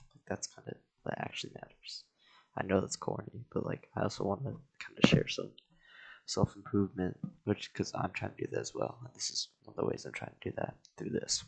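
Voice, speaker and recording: A man mumbling at a fairly quick pace, with big swings in loudness. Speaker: content creator drawing on camera. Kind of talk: casual vlog talk. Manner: hesitant, filler-heavy.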